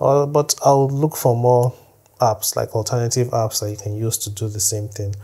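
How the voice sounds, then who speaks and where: The speech moves at a moderate pace with fairly even intonation over a quiet background. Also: man. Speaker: tech tutorial creator. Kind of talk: tutorial. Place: home room.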